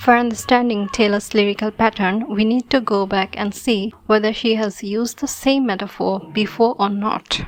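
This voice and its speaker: At a moderate pace, a woman with a non-native accent talks in a fairly high pitch, her intonation fairly even. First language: not English (English is third language). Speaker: video commentator. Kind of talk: scripted commentary video.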